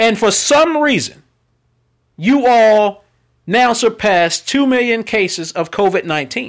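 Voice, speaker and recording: A man with an American accent talks at a fairly slow pace and a high pitch. His intonation is lively, and the recording is very clean with a silent background. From Texas. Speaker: podcast host. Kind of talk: angry rant. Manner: loud, profane, ranting; filler-heavy, unscripted.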